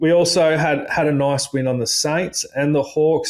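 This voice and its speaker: In an Australian accent, a man is speaking. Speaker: sports tipping podcast co-host. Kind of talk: casual podcast chat.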